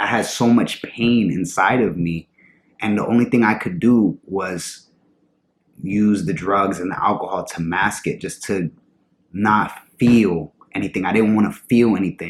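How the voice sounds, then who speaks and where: The man's voice is fairly low, his pace fairly slow and his pitch variation ordinary. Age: 20s. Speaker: vlogger in recovery. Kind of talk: personal vlog testimony. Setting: at home in front of camera. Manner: halting.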